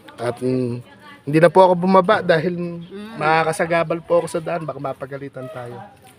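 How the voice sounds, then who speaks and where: Against crowd noise in the background, a man with a high pitch talks at a fairly quick pace with big swings in loudness. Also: ordinary pitch variation. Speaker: charity vlogger. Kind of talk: vlog narration to camera.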